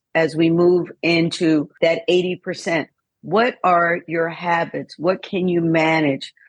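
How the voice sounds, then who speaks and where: At a fairly slow pace, a woman with a fairly low pitch speaks in an unremarkable speaking voice. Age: 60s. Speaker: fitness trainer and wellness coach. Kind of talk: podcast interview.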